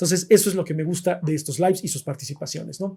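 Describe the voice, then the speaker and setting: A man with a Mexican accent talks at a very fast pace and high pitch. His tone is dark and mellow, with ordinary pitch variation. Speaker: philosophy livestream host. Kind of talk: live stream chat about philosophy. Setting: live stream.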